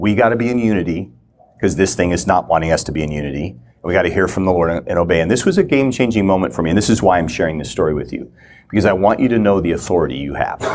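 A man's very deep, low voice with vocal fry, lively intonation and a very fast pace. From Minnesota. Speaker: ministry teacher. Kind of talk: teaching talk. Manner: halting.

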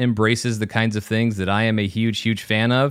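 In a very clean recording with a silent background, a man speaks at a moderate pace and a medium pitch. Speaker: podcast host. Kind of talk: casual chat. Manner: level-headed, even; clear, measured.

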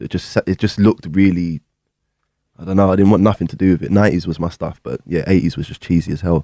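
Very fast and marked by vocal fry, the voice has a dark, mellow tone in a dry, close sound with no echo. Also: man, very deep, low pitch for a man, ordinary pitch variation. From London, England. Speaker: guitarist and producer. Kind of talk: casual interview chat.

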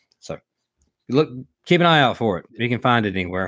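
Mumbling in a Southern US accent, a man at a medium pitch speaks with lively intonation. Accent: Southern US drawl. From US South, Alabama. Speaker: podcast co-host and former race car driver. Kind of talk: casual chat. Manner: mumbly, runs words together.

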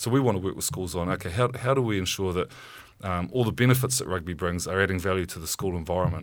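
Speaking in a New Zealand accent, a man talks at a very fast pace with a very deep, low pitch and ordinary pitch variation. The recording is very clean, with a silent background. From New Zealand, Auckland. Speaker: rugby administrator, former player. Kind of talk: interview. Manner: halting, many fillers.

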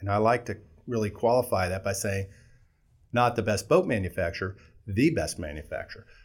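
On a very clean recording with a silent background, a man with an American accent and a somewhat breathy voice speaks at a fairly low pitch with ordinary pitch variation, moving at a fairly quick pace yet leaving long, frequent pauses. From Southern California. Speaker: company CEO. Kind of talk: interview.

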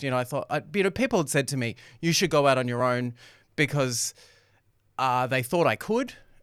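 Over a silent background in a very clean recording, a man with an Australian accent talks at a very fast pace and a medium pitch. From Australia, Melbourne (Doncaster, Templestowe). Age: 40s. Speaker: radio personality and former reality TV contestant. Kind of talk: casual chat. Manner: loud.

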